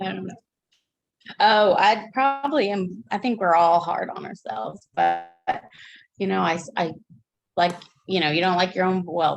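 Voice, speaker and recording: A woman talks in a medium pitch with lively intonation. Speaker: counseling student. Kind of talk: peer review feedback. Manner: calm, unhurried.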